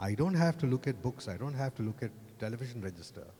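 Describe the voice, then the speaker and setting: A man's medium-pitched voice sounds somewhat breathy, with a dark, mellow tone. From Kerala, India. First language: Malayalam. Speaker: advertising creative director. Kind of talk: panel discussion. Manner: halting, repeats words.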